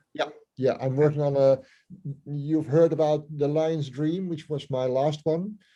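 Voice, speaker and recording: In a Dutch accent, a man speaks at a fairly slow pace with a fairly high pitch, fairly even intonation, and a dark, mellow tone. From Netherlands. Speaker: musician. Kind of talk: interview. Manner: halting, many fillers.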